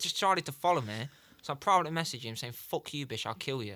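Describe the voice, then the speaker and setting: An animated, bright, sharp tone with lively intonation, on a very clean recording with a silent background. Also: man. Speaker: MMA podcast co-host and fighter. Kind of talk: casual chat. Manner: mumbles when speaking fast.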